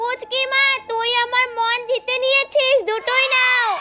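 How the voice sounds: A woman does a cartoonish character voice at an extremely high pitch, flat and monotone at a fairly slow pace, with light background noise.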